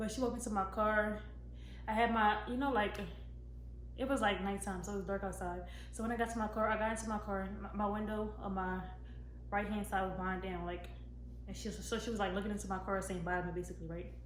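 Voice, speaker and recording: A woman speaks at a very fast pace, yet with long, frequent pauses. Audible room echo and noticeable background noise fill the recording. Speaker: YouTuber. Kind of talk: storytime vlog.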